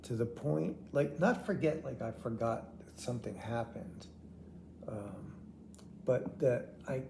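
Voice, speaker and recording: In a room with audible echo, a man talks fairly slowly at medium pitch in a dark, mellow tone, with vocal fry and lively intonation. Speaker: vlogger with terminal heart failure. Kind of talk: personal video diary. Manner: halting, word-finding pauses.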